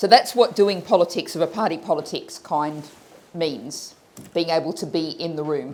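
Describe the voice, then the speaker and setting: A woman with an Australian accent talks at a moderate pace. Her fairly low voice shows ordinary pitch variation. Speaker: politician. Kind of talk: panel talk.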